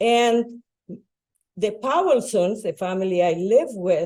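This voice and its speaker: A woman with a Spanish accent talks in a dark, mellow tone. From Bolivia. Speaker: retired educator and school board member. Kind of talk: public talk.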